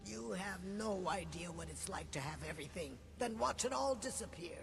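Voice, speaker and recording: A man uses a put-on character voice at a moderate pace over loud background noise. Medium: machinima. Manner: formal, refers to others in third person.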